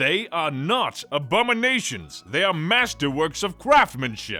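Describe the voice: A put-on character voice with a bright, sharp tone and big pitch swings moves at a fairly slow pace while faint music plays in the background. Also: man, fairly high pitch for a man.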